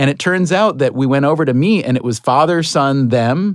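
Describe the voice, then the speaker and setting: Over a quiet background, a man with an ordinary speaking voice talks at a moderate pace, his fairly high pitch varying in an ordinary way. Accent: American. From upstate New York. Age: middle-aged. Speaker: podcast host. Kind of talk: casual chat.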